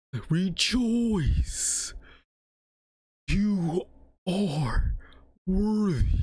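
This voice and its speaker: A put-on character voice at a middle pitch. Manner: solemn, proclaiming.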